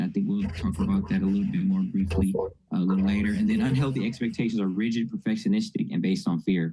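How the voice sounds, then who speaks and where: Somewhat breathy and dark, mellow in tone, a man talks at a very fast pace with very wide pitch swings. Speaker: mental health presenter. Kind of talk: lecture.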